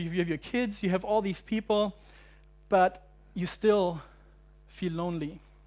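With a German accent, a man speaks at a high pitch with fairly even intonation. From Germany, central German highlands. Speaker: university pastor. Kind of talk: sermon. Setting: church. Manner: halting.

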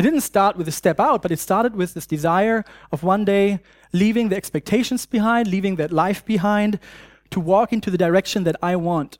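A man with a German accent and a high voice at a fairly quick pace, on a very clean recording with a silent background and a dry, close sound with no echo. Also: ordinary pitch variation. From Germany. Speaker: preacher and university student ministry worker. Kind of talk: sermon. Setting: church. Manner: halting, many fillers.

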